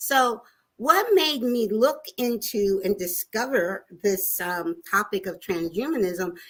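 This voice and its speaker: In a very clean recording with a silent background, a woman at medium pitch speaks in an animated tone with lively intonation. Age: 60s. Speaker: talk show co-host. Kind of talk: panel discussion.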